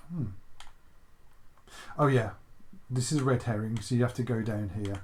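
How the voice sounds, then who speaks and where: Someone with an English accent talks at a moderate pace. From England. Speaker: retro gaming YouTuber. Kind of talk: gameplay commentary. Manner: casual, chatty.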